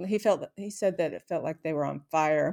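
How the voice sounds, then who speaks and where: In a Pacific Northwest accent, a dark, mellow voice with ordinary pitch variation comes through on a very clean recording with a silent background. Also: woman. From Seattle area, Washington. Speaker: retired aircraft flight test worker. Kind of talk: casual interview, personal life story.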